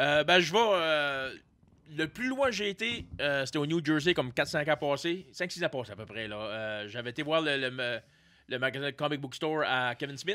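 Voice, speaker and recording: A man speaks at a fairly high pitch with a bright, sharp tone. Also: moderate pace. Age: 40s. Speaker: comedian; podcast guest. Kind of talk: casual chat. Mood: relaxed, joking. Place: studio. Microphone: studio mic.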